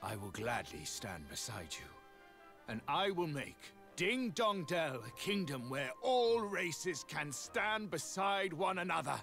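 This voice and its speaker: A put-on character voice moves at a fairly slow pace with very wide pitch swings. Clear music plays in the background. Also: man, fairly high pitch for a man. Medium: video game. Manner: formal, archaic, stately.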